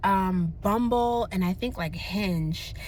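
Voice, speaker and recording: Her tone is bright, sharp and animated. The woman's intonation is lively. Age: 30s. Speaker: vlogger. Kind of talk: casual chat. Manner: fast.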